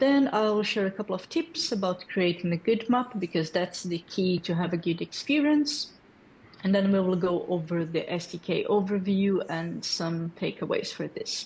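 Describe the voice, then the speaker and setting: A woman speaks at a moderate pace in a medium pitch, her intonation lively and her voice somewhat breathy. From Brazil. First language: Portuguese. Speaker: developer community lead. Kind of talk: tech presentation. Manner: hesitant with fillers.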